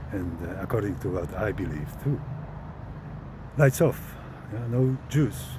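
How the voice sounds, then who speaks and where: A man speaks in a fairly low voice at a fairly slow pace, his pitch swinging very widely between long, frequent pauses. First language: Polish. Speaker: vlogger. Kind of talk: casual monologue. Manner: preacher-like; halting.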